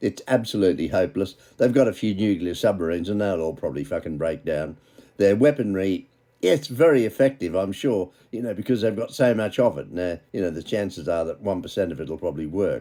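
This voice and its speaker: Using lively intonation, a man with a dark, mellow tone and a fairly low pitch speaks at a fairly quick pace. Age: 80s+. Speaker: political commentator. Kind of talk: news commentary monologue. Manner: animated.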